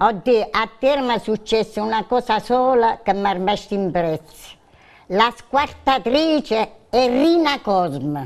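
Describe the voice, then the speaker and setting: Speaking at a very slow pace, a woman with an Abruzzese accent uses a fairly high pitch and lively intonation. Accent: Abruzzo dialect-tinged Italian. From Abruzzo. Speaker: regular studio guest storyteller; guest. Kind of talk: casual chat. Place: studio. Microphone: lapel.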